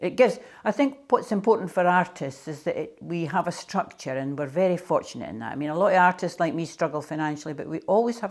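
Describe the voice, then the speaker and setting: A woman's fairly low voice with a Scottish accent, at a fairly quick pace, on a very clean recording with a silent background. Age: 70s. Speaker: artist. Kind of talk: interview monologue.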